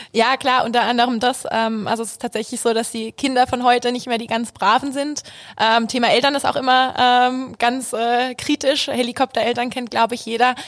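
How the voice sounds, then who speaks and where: At a fairly quick pace, a woman with a high pitch talks in a monotone, flat intonation, her loudness swinging widely. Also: hardly any pauses. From Hesse, Germany. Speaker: junior bank advisor. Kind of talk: casual interview.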